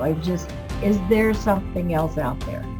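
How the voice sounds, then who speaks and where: Music can be heard behind the speaker. She is a woman, talking at a moderate pace. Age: 60s. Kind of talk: interview answer. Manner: casual, conversational.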